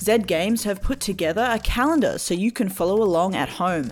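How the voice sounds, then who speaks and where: A woman talks at a moderate pace with lively intonation. Her voice carries vocal fry. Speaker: news segment presenter. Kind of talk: news reading. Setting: radio studio.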